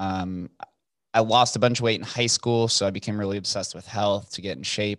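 With an American accent, a man speaks at a fairly quick pace in a plain, everyday voice, fairly low in pitch with ordinary pitch variation. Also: quiet background. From US West, Las Vegas. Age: 20s. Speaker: podcaster and entrepreneur. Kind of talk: casual interview chat.

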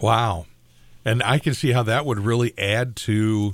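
A man with a fairly low pitch. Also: very clean recording, silent background. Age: 60s. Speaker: radio host. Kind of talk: casual chat.

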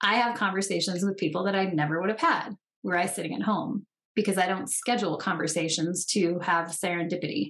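The woman's delivery moves at a fairly quick pace, and her pitch shifts in an ordinary way. It is a plain, everyday voice. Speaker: co-host. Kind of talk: casual chat.

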